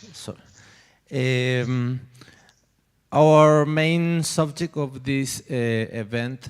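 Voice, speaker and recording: Speaking with a Spanish accent, a man with a medium-pitched voice goes very slowly, using fairly even intonation and long, frequent pauses. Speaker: audience member asking a question. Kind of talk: question from the audience. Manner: halting, many fillers.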